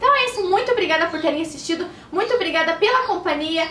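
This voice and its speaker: This is a woman speaking. The room echo is audible. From Curitiba, southern Brazil; Paraná, Brazil. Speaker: beauty blogger and YouTuber; beauty blogger. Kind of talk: casual vlog announcement. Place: home room. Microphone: camera far.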